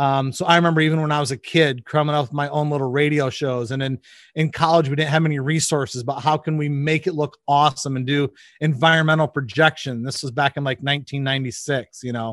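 A man's very fast, fairly high-pitched voice with a US Midwestern accent, fairly even intonation, and a dry, close sound with no echo over a quiet background. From Michigan, US Midwest. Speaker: audiovisual producer. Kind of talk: casual interview. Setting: video call.

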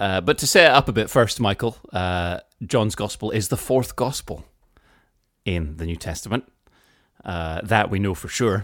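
At a moderate pace broken by long, frequent pauses, a man speaks in a fairly low pitch with ordinary pitch variation, recorded very cleanly against a silent background. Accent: British. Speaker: podcast co-host. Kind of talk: casual chat.

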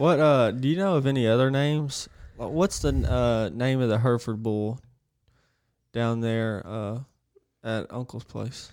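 A man with an Alabama accent speaks at a medium pitch and a moderate pace, with ordinary pitch variation and long, frequent pauses. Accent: Southern US (Alabama). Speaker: podcast co-host. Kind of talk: casual chat. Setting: studio.

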